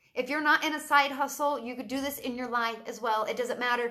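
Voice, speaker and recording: A woman projects a raised, high-pitched voice with a bright, sharp tone. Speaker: side-hustle entrepreneur live streamer. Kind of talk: motivational Facebook live video. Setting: live stream. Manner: loud; animated.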